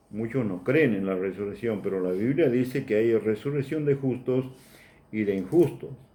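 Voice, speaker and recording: A man's medium-pitched voice with lively intonation at a moderate pace, amid audible room echo. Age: 60s. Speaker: preacher. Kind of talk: sermon.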